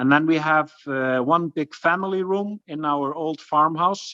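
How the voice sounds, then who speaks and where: In an Icelandic accent, a man speaks at a very slow pace with a bright, sharp tone and ordinary pitch variation, his voice dry and close with no echo against a quiet background. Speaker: farm guesthouse owner. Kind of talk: webinar presentation and Q&A. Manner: halting, many fillers.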